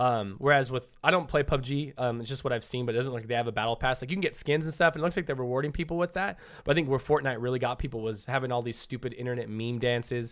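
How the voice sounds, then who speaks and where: An animated, very fast voice in an American accent, with ordinary pitch variation on a very clean recording with a silent background. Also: man, medium pitch for a man. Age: 30s. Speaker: streamer. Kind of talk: casual chat. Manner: loud.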